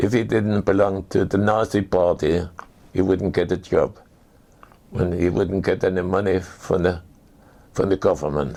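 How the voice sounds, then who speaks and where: A man with a German accent has a very deep, low pitch and a dark, mellow tone, speaking at a moderate pace with ordinary pitch variation. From Germany. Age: 80s+. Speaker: war veteran. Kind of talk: testimony. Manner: halting.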